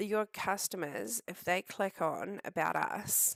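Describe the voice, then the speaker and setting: A woman with a New Zealand accent speaks very slowly at medium pitch, with vocal fry. The sound is dry and close with no echo, on a very clean recording with a silent background. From New Zealand, Southland. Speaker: web design tutor. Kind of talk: screen-share tutorial. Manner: casual, hesitant with many ums.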